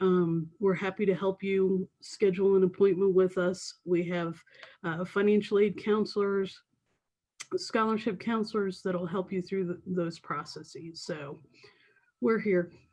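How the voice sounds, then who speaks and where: Her tone is dark and mellow, with a medium pitch. The woman speaks at a fairly slow pace with fairly even intonation. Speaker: university financial aid director. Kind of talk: webinar Q&A.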